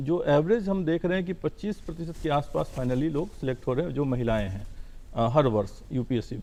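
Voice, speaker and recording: A man speaks in a dark, mellow voice, fairly high in pitch, with lively intonation. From Bihar, India. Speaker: civil servant. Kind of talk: TV interview.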